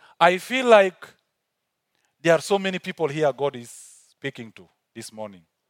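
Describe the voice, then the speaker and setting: With an African accent, a man speaks at a moderate pace in a high pitch, his voice moving through very wide pitch swings and big swings in loudness, with long, frequent pauses. The sound is dry and close with no echo, in a very clean recording with a silent background. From South Sudan. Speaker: visiting preacher. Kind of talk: sermon. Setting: church stage with audience.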